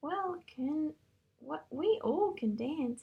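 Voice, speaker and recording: Putting on a character voice, a woman speaks high with very wide pitch swings. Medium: read story.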